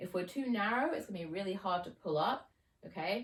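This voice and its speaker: Here a woman speaks at a medium pitch. Her intonation is lively. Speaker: fitness coach. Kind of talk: tutorial. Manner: casual, with fillers.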